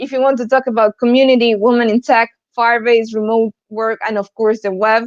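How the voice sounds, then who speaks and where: A woman with an Argentine accent speaks fairly quickly at a fairly high pitch. Her intonation is monotone and flat, and the sound is dry and close with no echo. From Argentina, Buenos Aires. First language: Spanish. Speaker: developer advocate, conference speaker. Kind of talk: conference talk. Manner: hesitant, with fillers.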